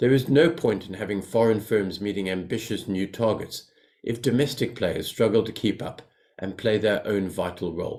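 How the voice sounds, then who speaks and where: At a moderate pace, a man with a South African accent speaks in a fairly low pitch with ordinary pitch variation. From South Africa and Zambia. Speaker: financial company executive. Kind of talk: prepared speech. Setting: webinar.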